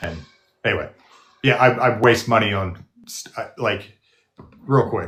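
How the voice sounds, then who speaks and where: A man mumbles at a fairly slow pace, with long, frequent pauses. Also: medium pitch for a man, ordinary pitch variation. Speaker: nurse and video creator. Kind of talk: casual chat. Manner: mumbling; halting. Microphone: studio podcast microphone.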